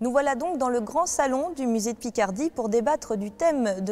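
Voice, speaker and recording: Speaking at a moderate pace with lively intonation, a woman with a high-pitched voice is heard over noticeable background noise. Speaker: TV journalist and presenter. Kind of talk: TV magazine show presenting.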